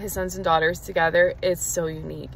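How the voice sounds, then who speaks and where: The speaker is a woman, heard over light background noise. Her recording is dry, with no echo. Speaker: faith vlogger. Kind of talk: casual vlog chat. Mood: earnest, personal. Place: car. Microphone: phone near.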